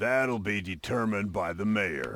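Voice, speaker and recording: A raspy, put-on character voice comes through. It moves at a moderate pace. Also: man. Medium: video game. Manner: dry, sarcastic.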